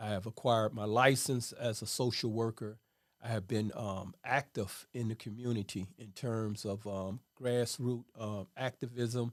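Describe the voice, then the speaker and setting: A man with an American accent has an ordinary speaking voice. He talks at a fairly slow pace on a very clean recording with a silent background. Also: medium pitch for a man, fairly even intonation. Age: 60s. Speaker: social worker and former prisoner. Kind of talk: interview testimony.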